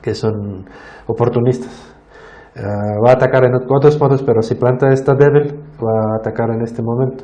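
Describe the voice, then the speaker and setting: Speaking with a non-native accent, a man talks at a medium pitch and moderate pace with fairly even intonation, amid audible room echo and noticeable background noise. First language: not Spanish (speaking Spanish). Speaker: plant disease scientist. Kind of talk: Q&A after a lecture. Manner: halting, many fillers and restarts.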